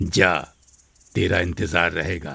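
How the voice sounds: A man's cartoonish character voice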